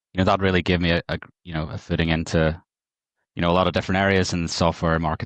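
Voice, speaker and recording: In a dry, close sound with no echo and a quiet background, a man with a Northern Irish accent speaks at a very deep, low pitch with monotone, flat intonation. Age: 40s. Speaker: market data technology executive. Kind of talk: podcast interview.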